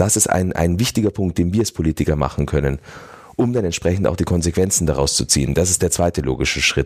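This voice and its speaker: A man's very deep, low voice with vocal fry, very fast pace, very even loudness and ordinary pitch variation. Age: 40s. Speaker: mayor and politician. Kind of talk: interview. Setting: studio.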